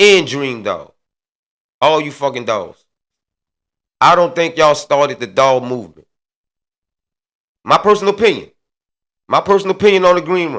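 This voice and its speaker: Lively in intonation, a man speaks at a moderate pace with a bright, sharp tone and vocal fry. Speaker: show host giving commentary. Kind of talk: casual monologue commentary. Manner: animated.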